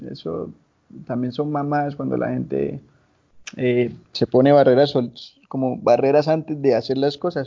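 A man speaks at a fairly slow pace. His speech has long, frequent pauses. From Colombia, Santander (San Gil, Barrancabermeja, Bucaramanga). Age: 20s. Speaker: musician. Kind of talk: interview.

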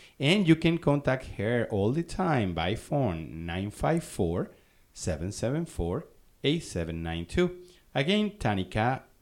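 Speaking at a fairly slow pace, a man swings his pitch very widely in a very clean recording with a silent background. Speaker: community radio host and social director. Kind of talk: radio interview. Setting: radio studio. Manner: friendly, upbeat.

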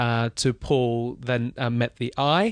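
Against a quiet background, with a dry, close sound and no echo, a man speaks at a very slow pace with a slight Australian accent. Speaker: business founder. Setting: hotel in London.

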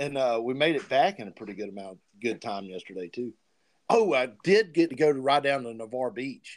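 A man at a fairly quick pace, medium pitch, a normal speaking voice. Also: lively intonation. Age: 40s. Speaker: podcast host. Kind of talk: casual chat.

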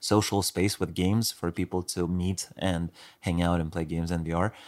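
The recording is very clean, with a silent background. A man speaks at a moderate pace with a very deep, low pitch. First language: not English. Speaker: podcast co-host. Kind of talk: casual chat.

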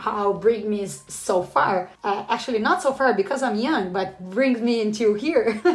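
A woman speaks with a Portuguese accent at a moderate pace, her pitch fairly high. Her pitch variation is ordinary, and there is noticeable background noise. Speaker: postdoctoral researcher, entomologist. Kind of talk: casual podcast interview.

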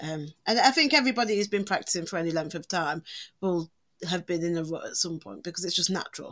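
Talking at a very fast pace, a woman with a fairly low pitch shows ordinary pitch variation. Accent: English. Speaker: podcast co-host, witch. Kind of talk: casual chat.

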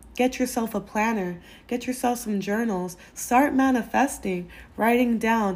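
The voice is somewhat breathy, moving at a fairly slow pace with ordinary pitch variation on a very clean recording with a silent background. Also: woman, fairly high pitch for a woman. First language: Spanish. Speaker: podcast host. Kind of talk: casual advice monologue.

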